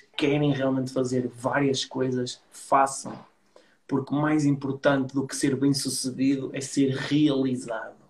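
A man at a fairly slow pace and fairly high pitch, with monotone, flat intonation. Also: big swings in loudness. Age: 30s. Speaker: entrepreneur. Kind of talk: casual interview chat.

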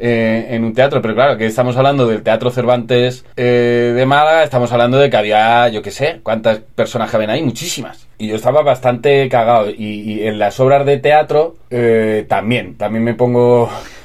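With hardly any pauses, a man of medium pitch speaks at a moderate pace and fairly even intonation. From Spain, Albacete. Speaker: screenwriter and film director. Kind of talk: interview. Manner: halting.

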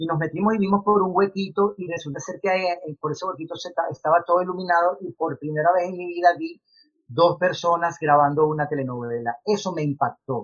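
With a Venezuelan accent, a man talks at a fairly quick pace in a high voice, his pitch varying in an ordinary way while his loudness swings widely. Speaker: actor. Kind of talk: interview.

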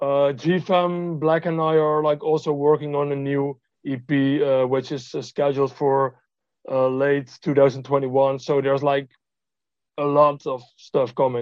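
A man with a Dutch accent, fairly high pitch, monotone, flat intonation and a very slow pace. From Netherlands. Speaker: music producer. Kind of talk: interview. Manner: hesitant with frequent fillers.

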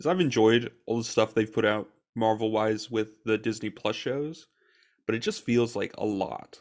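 A man at medium pitch and moderate pace, with ordinary pitch variation, on a very clean recording with a silent background. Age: 20s. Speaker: podcast co-host, college student. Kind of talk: casual chat.

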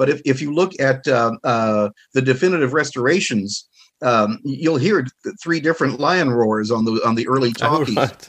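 A man with an ordinary speaking voice talks at a moderate pace, with medium pitch and ordinary pitch variation. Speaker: author and film expert guest. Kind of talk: casual interview discussion.

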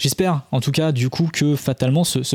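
A man's fairly high voice, dark and mellow in tone, with ordinary pitch variation and a dry, close sound with no echo. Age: 20s. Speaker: podcast host, sound technology educator. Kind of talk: casual educational podcast chat. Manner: halting, with stammers and repetitions.

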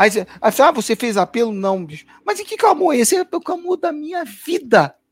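A man speaks at a moderate pace with very wide pitch swings and big swings in loudness. The sound is dry and close, with no echo. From Brasília, Brazil. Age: 50s. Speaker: gospel musician. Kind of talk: casual chat. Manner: halting.

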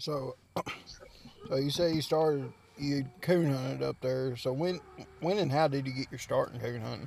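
A man with a Southern US accent speaks at a fairly high pitch and moderate pace, with fairly even intonation. He leaves long, frequent pauses, and noticeable background noise runs underneath. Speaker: podcast co-host. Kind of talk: casual chat.

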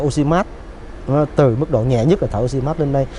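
A man talks at a very fast pace, his pitch medium. Noticeable background noise runs underneath. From Ho Chi Minh City, southern Vietnam. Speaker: doctor. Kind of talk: interview.

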